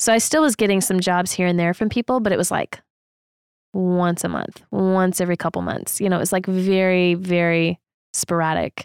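In an unremarkable speaking voice of medium pitch, a woman talks at a moderate pace with fairly even intonation and very even loudness, in a dry, close sound with no echo on a very clean recording with a silent background. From Texas, San Antonio. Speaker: freelance photographer. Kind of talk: casual chat.

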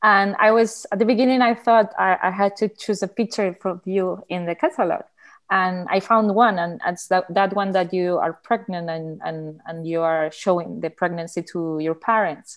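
A woman speaks with a Spanish accent at a moderate pace and a medium pitch, with hardly any pauses and ordinary pitch variation. The background is quiet. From Barcelona, Spain. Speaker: artist and photographer. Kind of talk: casual conversation.

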